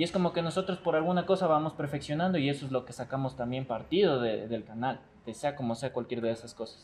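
The speech comes at a very fast pace with ordinary pitch variation. The voice is somewhat breathy. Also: man, fairly high pitch for a man. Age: 20s. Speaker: video content creator. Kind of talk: casual chat.

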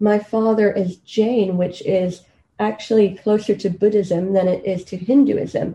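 Somewhat breathy, a woman with a medium pitch speaks at a very slow pace with ordinary pitch variation. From Kenya. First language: Swahili. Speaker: medical doctor and PhD student. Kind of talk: interview. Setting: at home.

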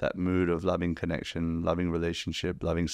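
A man speaks at a very fast pace in a very deep, low voice. The background is quiet. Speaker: spiritual podcast host. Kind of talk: casual chat.

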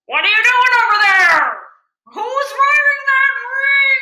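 A woman's put-on character voice, extremely high-pitched, at a fairly slow pace. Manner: gruff, accusatory.

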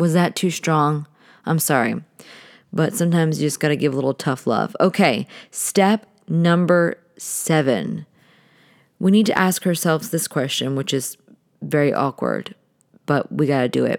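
Against a silent background in a very clean recording, a woman with a very deep, low pitch and vocal fry speaks in an animated tone, with ordinary pitch variation, very even loudness, and long, frequent pauses. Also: moderate pace. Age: 30s. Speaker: podcast host. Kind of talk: solo podcast monologue.

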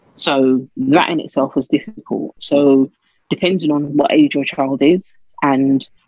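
This woman has a very deep, low pitch and a London accent. The sound is dry and close, with no echo. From London, England. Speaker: teacher. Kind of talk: interview.

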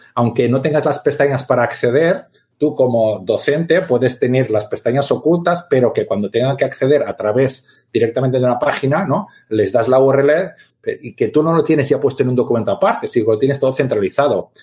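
A somewhat breathy man with a fairly high pitch, ordinary pitch variation and a fairly quick pace. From Catalonia. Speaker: teacher and gamification expert. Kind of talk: interview.

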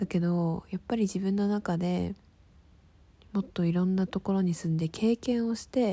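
A plain, everyday voice from a woman at medium pitch, with fairly even intonation and a moderate pace. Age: 20s. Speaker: podcaster. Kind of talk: casual monologue. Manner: chatty, informal.

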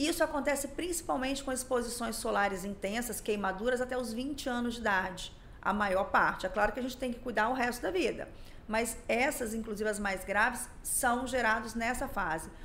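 Audible room echo surrounds a woman whose high pitch moves with ordinary variation at a moderate pace. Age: 40s. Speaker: dermatologist. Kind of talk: podcast interview. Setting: studio.

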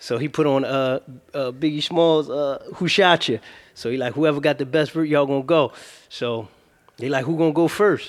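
At a moderate pace, a man speaks with fairly high pitch and fairly even intonation. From Philadelphia, North Philly. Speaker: rapper. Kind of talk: interview. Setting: studio.

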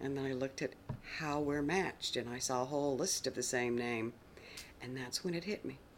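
With an American accent, a woman talks at a fairly quick pace in a very deep, low pitch, with ordinary pitch variation. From US South, outside Atlanta, Georgia. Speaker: interviewee sharing a DNA discovery story. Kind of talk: testimony.

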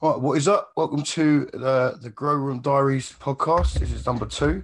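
At a moderate pace, a man talks in a medium pitch that is croaky with a slightly husky edge and ordinary pitch variation.

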